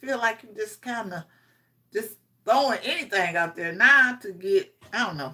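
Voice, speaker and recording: Her fairly high voice has a bright, sharp tone and some vocal fry. The woman talks at a fairly quick pace. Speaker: streamer. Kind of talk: casual chat. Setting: livestream.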